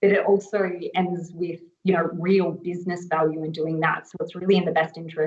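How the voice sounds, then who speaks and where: At a fairly quick pace, a woman with an Australian accent speaks with fairly even intonation. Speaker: agile coach. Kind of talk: conference panel talk.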